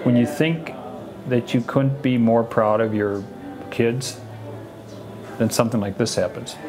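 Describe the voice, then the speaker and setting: Music plays in the background while the speaker talks at a fairly slow pace. Long pauses come often. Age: 60s. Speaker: parent of the doctor. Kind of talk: documentary interview.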